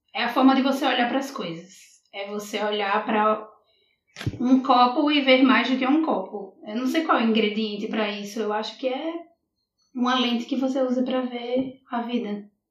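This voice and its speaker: A woman speaks in a Rio Grande do Norte accent at a high pitch. Her pace is moderate and her pitch variation ordinary. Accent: Brazilian northeastern (potiguar). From Brazil, Natal (Rio Grande do Norte). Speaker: poet. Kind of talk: casual interview.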